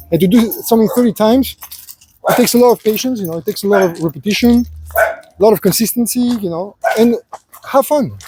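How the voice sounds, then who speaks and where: A man's high-pitched, very fast speech with long, frequent pauses, in a dry, close sound with no echo. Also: ordinary pitch variation. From Greece. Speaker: life advice vlogger. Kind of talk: casual walking vlog monologue. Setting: outdoors at the beach. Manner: halting, many fillers.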